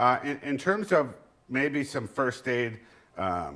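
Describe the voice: A man's slow, medium-pitched speech, fairly bright in tone, with big pitch swings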